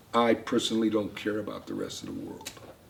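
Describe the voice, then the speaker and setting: A man keeps a moderate pace while noticeable background noise sounds around him. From US Midwest, Cleveland, Ohio. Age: 70s. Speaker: kibbutz guide, farmer. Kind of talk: guided tour talk.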